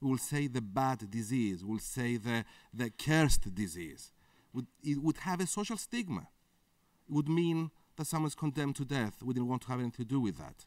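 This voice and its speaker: Lively intonation marks this moderately paced speech in a Greek accent. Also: man, medium pitch for a man. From Greece. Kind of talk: conference interview.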